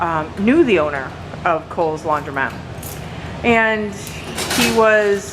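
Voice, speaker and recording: Loud and fairly low-pitched, a woman speaks very slowly with very wide pitch swings and long, frequent pauses, amid audible room echo and noticeable background noise. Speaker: laundromat owner, video host. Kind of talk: casual chat.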